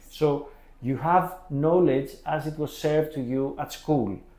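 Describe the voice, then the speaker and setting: In a room with audible echo, a man speaks with a dark, mellow tone at a fairly high pitch. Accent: Greek. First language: Greek. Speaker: podcast host. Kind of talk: interview. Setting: office. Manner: halting.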